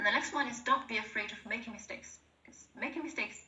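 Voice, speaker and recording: A woman speaks with a Chinese accent, with audible room echo around her voice. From China. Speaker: presentation skills speaker at work webinar. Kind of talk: workplace webinar presentation. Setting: online video call webinar. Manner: halting, repeats words.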